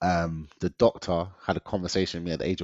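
A man with a London accent talks at a fairly quick pace in an animated, energetic tone. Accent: London multicultural English. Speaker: diet consultant, weight loss coach. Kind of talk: casual interview chat, personal story. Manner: animated, energetic, jokey.

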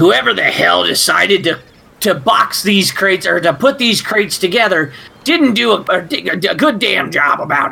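A man does a put-on character voice at a high pitch. His pace is moderate. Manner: gruff, defiant.

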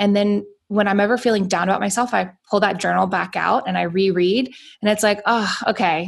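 At a fairly quick pace and very even loudness, a woman with an American accent speaks in an ordinary speaking voice at medium pitch. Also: fairly even intonation, very clean recording, silent background. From US South, Atlanta, Georgia. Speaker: entrepreneur. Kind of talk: interview.

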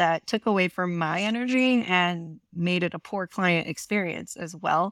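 A woman with an American accent uses a plain, everyday voice at medium pitch and a moderate pace. Her intonation is fairly even, and the sound is dry and close with no echo. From rural Eastern Washington, US. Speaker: money coach. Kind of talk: casual interview chat. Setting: remote call from their bed.

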